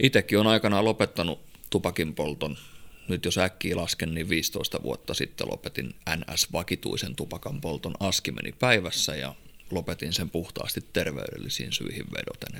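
A man with a Finnish accent speaks at a fairly quick pace in a very deep, low voice with vocal fry and lively intonation. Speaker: podcast host. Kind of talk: casual chat. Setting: studio.

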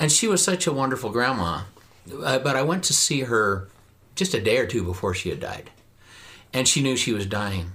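Bright and sharp in tone, a man with a slight rural Western US accent and medium pitch makes very wide pitch swings at a moderate pace, broken by long, frequent pauses. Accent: slight Western US rural twang. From southern Idaho. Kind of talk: casual interview conversation.

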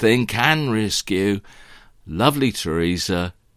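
A man's fairly low voice with lively intonation, in a very clean recording with a silent background. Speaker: political commentator. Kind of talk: angry political rant, improvised talk. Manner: indignant, sarcastic, ranting.

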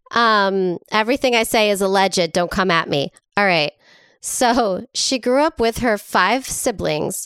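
A woman with an unremarkable speaking voice talks fairly slowly at a medium pitch with ordinary variation, in a very clean recording with a silent background. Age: 40s. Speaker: podcast co-host. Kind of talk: casual comedic chat and storytelling. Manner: frequent laughter, lots of fillers.

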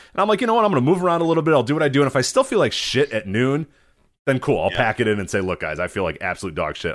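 A man with a medium pitch and vocal fry talks at a very fast pace with very wide pitch swings over a quiet background. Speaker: wrestling podcast host. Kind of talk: casual chat. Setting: live stream with chat room.

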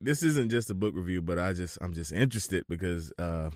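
On a very clean recording with a silent background, a man's very deep, low voice comes through dry and close, with no echo. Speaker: podcast host. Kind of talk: casual interview chat.

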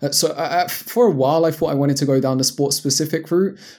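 This man has a London accent, a fairly high pitch, a dark, mellow tone and fairly even intonation. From London, England. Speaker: online fitness coach. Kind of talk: casual interview chat. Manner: halting, many fillers.

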